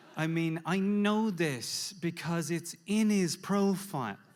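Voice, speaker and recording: A man with an Irish accent at a very slow pace. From Ireland. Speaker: standup comedian. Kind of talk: live standup comedy storytelling. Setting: live audience.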